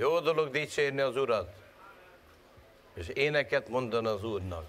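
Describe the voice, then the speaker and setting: Against light background noise, a man with vocal fry speaks fairly slowly at a fairly high pitch, his intonation lively. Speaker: pastor. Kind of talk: sermon. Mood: warm, joking. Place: church. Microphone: lapel.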